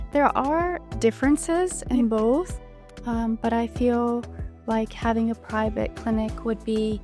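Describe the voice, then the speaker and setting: With a non-native accent, a woman speaks at a very slow pace, leaving long, frequent pauses. Music plays in the background. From Bulgaria. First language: not English. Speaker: medical student. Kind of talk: interview answer.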